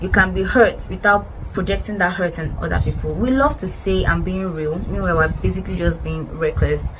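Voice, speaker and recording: A woman talks at a fairly quick pace with hardly any pauses, with audible room echo and noticeable background noise. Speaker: podcast host. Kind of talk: casual monologue. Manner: fast.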